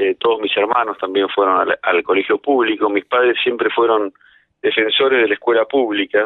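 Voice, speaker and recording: Speaking in a Rioplatense accent, a man keeps a moderate pace. His loudness stays very even. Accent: Argentine Rioplatense Spanish. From Argentina, Mar del Plata. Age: 50s. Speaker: lawyer and federal prosecutor. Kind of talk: radio interview. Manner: halting, with many repetitions and fillers.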